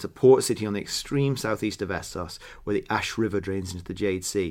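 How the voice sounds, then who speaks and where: A man speaks with an American accent. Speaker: podcast co-host. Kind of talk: casual chat, book review. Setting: US resident.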